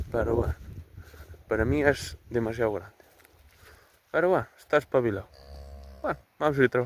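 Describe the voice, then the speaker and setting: A man at a medium pitch, fairly quick in pace, with ordinary pitch variation. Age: 20s. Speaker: cattle farmer. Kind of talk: casual talk to camera. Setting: outdoors.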